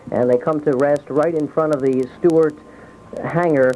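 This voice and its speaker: A man at a moderate pace, flat and monotone, with noticeable background noise. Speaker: radio field reporter. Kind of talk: live radio news coverage.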